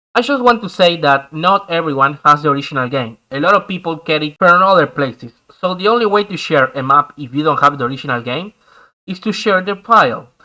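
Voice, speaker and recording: A man speaks with a Spanish accent. His pace is fairly quick and his intonation lively. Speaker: gaming YouTuber. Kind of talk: tutorial.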